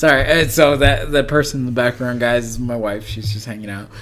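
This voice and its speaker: A man's medium-pitched voice with an American accent and ordinary pitch variation, over background music, with audible room echo. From Las Vegas, Nevada. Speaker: podcast host. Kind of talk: casual chat.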